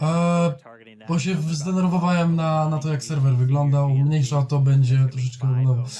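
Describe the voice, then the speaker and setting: A speaker with a Polish accent talks at a moderate pace with ordinary pitch variation. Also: man. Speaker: streamer. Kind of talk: casual chat.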